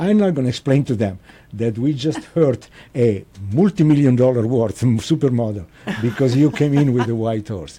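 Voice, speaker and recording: In an Italian accent, a man with a medium pitch and a dark, mellow tone speaks at a moderate pace with lively intonation. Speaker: restaurant owner. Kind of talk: casual interview. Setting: studio. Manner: halting.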